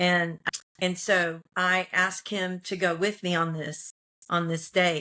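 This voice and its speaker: A woman with an American accent speaks at a medium pitch in a bright, sharp tone, her intonation monotone and flat. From Texas. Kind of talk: casual storytelling.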